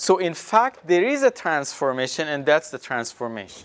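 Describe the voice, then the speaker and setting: A man with a non-native accent speaks at a fairly high pitch, his voice swinging very widely up and down, recorded dry and close with no echo. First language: not English. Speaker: university professor. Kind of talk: lecture. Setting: classroom with students. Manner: halting, with many fillers.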